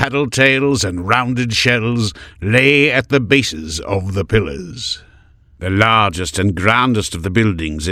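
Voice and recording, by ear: The text is read aloud in a natural-sounding voice.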